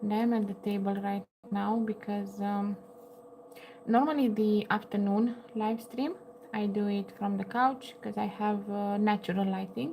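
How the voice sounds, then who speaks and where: A woman with a Romanian accent talks at a fairly slow pace and medium pitch. Her intonation is fairly even, with noticeable background noise around her. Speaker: crochet livestreamer. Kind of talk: casual livestream chat. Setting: home livestream at table. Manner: halting, many fillers.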